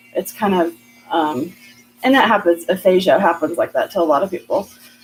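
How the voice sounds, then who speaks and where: Music plays in the background as a woman speaks at a fairly quick pace. Her pitch is medium and her intonation lively. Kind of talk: casual live stream chat while crafting. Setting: live video stream. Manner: fast; word-finding pauses, hesitant.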